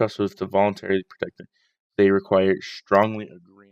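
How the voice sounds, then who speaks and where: Fairly low male pitch, dry and close with no echo, over a quiet background. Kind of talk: casual political talk livestream. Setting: at home, night. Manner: quiet, hushed.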